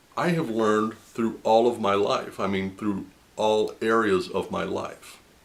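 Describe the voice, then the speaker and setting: Ordinary pitch variation and a rather unhurried pace from an unremarkable speaking voice. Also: man, medium pitch for a man. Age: 60s. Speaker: video blogger sharing faith testimony. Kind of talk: personal testimony monologue.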